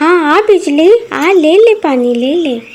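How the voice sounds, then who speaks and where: At a moderate pace, a woman uses a cartoonish character voice with an extremely high pitch. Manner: hushed.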